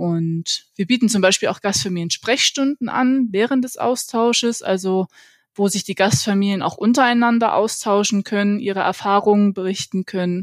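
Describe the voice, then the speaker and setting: A woman speaks in a normal speaking voice at medium pitch, moderate pace and with ordinary pitch variation. The recording is very clean with a silent background and a dry, close sound with no echo. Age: 30s. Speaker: exchange organisation employee and host mother. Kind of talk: casual interview.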